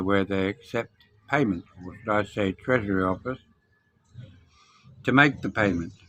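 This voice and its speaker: With a British accent, a man talks at a moderate pace. His pitch is fairly low and his tone is bright and sharp. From Britain. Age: 70s. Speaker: expat vlogger. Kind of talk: casual talk to camera.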